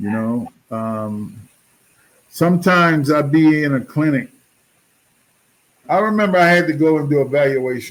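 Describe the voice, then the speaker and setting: A man's fairly high, lively voice at a moderate pace, with long, frequent pauses. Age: 60s. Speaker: podcast host, dialysis patient. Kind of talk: casual interview chat. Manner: halting.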